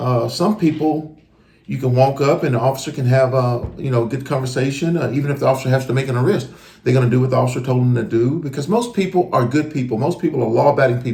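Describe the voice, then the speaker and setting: A man speaks very fast in a medium-pitched, somewhat breathy voice with a dark, mellow tone. His pitch varies in an ordinary way. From US South. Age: 40s. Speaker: retired police officer. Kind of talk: casual chat. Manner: animated.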